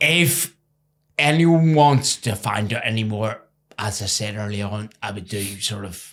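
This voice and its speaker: Lively intonation from a man with an Irish accent and a fairly low pitch. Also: fairly slow pace. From Ireland. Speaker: former professional cricketer. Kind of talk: interview.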